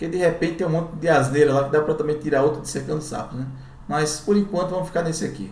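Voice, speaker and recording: Fairly high in pitch, a man talks at a very fast pace with a northeastern Brazilian accent and fairly even intonation. The room echo is audible and background noise is noticeable. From Brazilian Northeast. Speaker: YouTuber. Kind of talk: commentary. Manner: casual.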